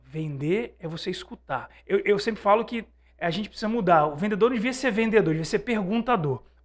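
With lively intonation and a high pitch, a man talks at a fairly quick pace. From Brazil. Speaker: sales trainer and author; sales trainer. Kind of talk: interview. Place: studio. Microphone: studio mic.

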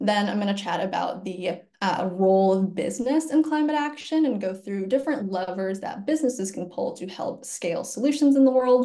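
Lively intonation marks this woman's speech in an American accent. She goes at a fairly quick pace over a quiet background. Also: medium pitch for a woman, hardly any pauses. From Virginia, US. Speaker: climate nonprofit employee engagement lead; webinar presenter. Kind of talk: webinar presentation. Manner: animated. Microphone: webcam.

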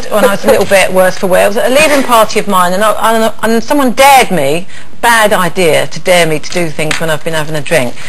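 The speech moves at a fairly quick pace, with noticeable background noise behind it. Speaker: panel show host. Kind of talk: chat show anecdote. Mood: amused, laughing while telling story. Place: studio.

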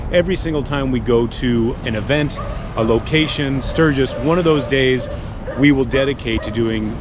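Music plays behind a man speaking at a moderate pace. His pitch varies in an ordinary way, and the sound is dry with no echo. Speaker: motorcycle vlogger. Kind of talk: casual vlog chat. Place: street.

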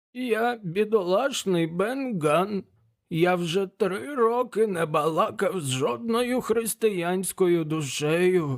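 This put-on character voice sounds hoarse, with lively intonation. The delivery is very slow. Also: man, high pitch for a man. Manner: pleading, pitiful.

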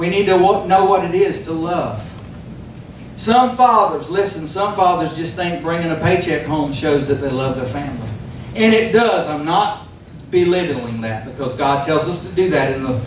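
A man with a fairly high pitch at a moderate pace, amid light background noise and audible room echo. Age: 50s. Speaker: pastor. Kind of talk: sermon. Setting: church. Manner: animated. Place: church.

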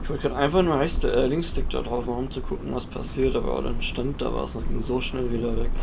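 A man rushes along at a very fast pace with hardly any pauses. Noticeable background noise runs underneath. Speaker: gaming YouTuber. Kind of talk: let's play commentary. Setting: home recording setup. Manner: casual, thinking aloud.

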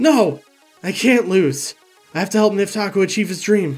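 The speaker uses an unforced reading voice.

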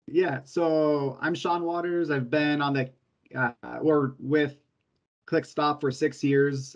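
A man with an American accent, fairly high pitch and fairly even intonation, against a quiet background. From Southern California, Orange County; California. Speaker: sales and service employee; sales. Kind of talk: interview. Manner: halting. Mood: relaxed, friendly. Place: home room. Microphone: video call.

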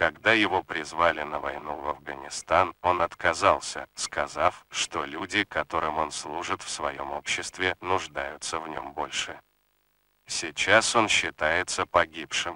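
In a put-on character voice, a man speaks raspy and very deep, with fairly even intonation and a moderate pace, in a dry, close sound with no echo. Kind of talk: propaganda recruitment film narration. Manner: solemn, measured, persuasive.

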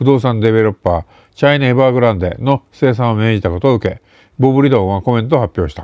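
A man talks at a medium pitch with ordinary pitch variation. The sound is dry with no echo, over a quiet background. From Japan. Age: 60s. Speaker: intelligence and geopolitics commentator; political commentator. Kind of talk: solo news commentary monologue. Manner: casual with many fillers. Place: home room. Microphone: webcam.

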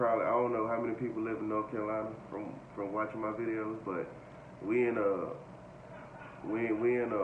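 A man at a very fast pace, with light background noise and audible room echo. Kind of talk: casual vlog chat. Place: home room. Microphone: phone near.

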